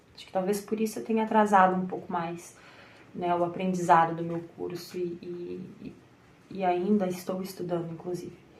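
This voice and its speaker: A woman with a fairly low, somewhat breathy voice talks at a moderate pace with fairly even intonation. Her loudness swings widely, and room echo is audible. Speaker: tarot reader and content creator. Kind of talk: personal monologue to camera. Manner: hesitant, with repetitions and fillers.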